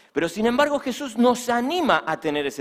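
A man talks at a moderate pace with very wide swings in pitch. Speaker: pastor. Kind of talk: sermon.

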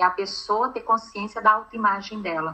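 Here a woman has a normal speaking voice at medium pitch. She talks at a moderate pace with ordinary pitch variation. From Brazil, Minas Gerais. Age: 40s. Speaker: image consultant. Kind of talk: interview.

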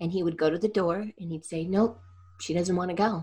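A woman's fairly low, somewhat breathy voice moves with ordinary pitch variation. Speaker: energy healer and coach. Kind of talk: interview conversation.

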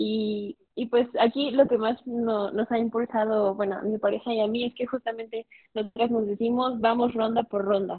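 At a moderate pace and with hardly any pauses, a woman with a fairly high pitch speaks in a monotone, flat intonation. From Mexico. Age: 21. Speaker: law student and debater. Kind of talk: casual interview.

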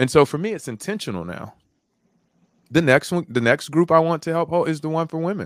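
An ordinary speaking voice moves at a fairly quick pace with ordinary pitch variation in a dry, close sound with no echo. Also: man, fairly high pitch for a man. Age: 40s. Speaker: motivational speaker and life coach, retired combat veteran. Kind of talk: casual interview conversation. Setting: video call.

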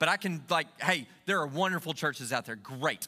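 Raised and projected, a man's voice carries a bright, sharp tone at a fairly quick pace. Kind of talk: sermon in full flow, with call-and-response and a worship exhortation. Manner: loud, rallying, rhythmic, crowd-driving.

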